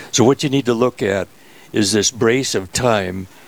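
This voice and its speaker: With an Upper Midwest accent, a man speaks at a moderate pace. His pitch is fairly low, with ordinary variation. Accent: Upper Midwest American. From US Midwest, Minnesota. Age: 80s+. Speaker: rosary maker, church volunteer. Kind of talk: radio interview. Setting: host's office, live radio.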